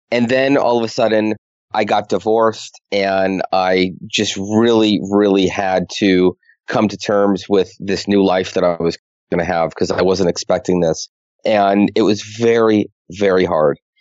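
Speaking in a plain, everyday voice with an American accent, a man talks at a fairly slow pace with fairly low pitch and fairly even intonation. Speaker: money strategist. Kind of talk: casual interview.

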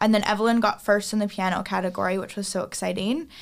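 A woman with a Canadian accent talks at a fairly high pitch with ordinary pitch variation. The recording is very clean, the background silent. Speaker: singer. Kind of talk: casual chat. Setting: studio.

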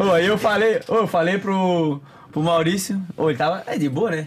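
Speaking at a fairly quick pace, a man has a high voice. His pitch varies in an ordinary way. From Florianópolis area, Santa Catarina, Brazil. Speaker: content creator. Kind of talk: casual chat.

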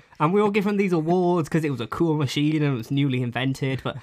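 A man speaks with a Welsh accent. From Cwmbran, Wales. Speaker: podcast host. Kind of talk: casual chat.

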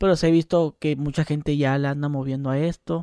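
The tone is dark and mellow, heard on a very clean recording with a silent background and a dry, close sound with no echo. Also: man. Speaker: podcast host and YouTuber. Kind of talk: casual interview chat.

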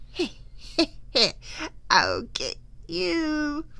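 A female-sounding, put-on character voice cackles at a high pitch. Its tone is menacing. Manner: cackling, menacing.

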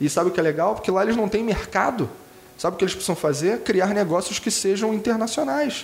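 A man with a Carioca accent speaks at a very fast pace in a high voice, his loudness very even. Noticeable background noise and audible room echo accompany him. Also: ordinary pitch variation. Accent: carioca accent, clearly audible. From Rio de Janeiro, Brazil. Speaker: innovation consultant and designer. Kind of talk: casual lecture-style interview. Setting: improvised studio.

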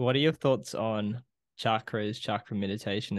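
Against a quiet background, a man with an ordinary speaking voice talks at a moderate pace and a fairly low pitch. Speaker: podcast host. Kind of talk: casual chat.

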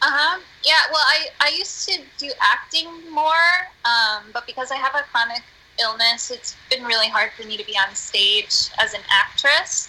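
A woman with an American accent talks in a high, raised and projected voice. Her intonation is lively and her pace is moderate. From US, northeastern Pennsylvania. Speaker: musician and theater artist. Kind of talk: casual chat. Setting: Skype call. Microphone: poor sound quality.

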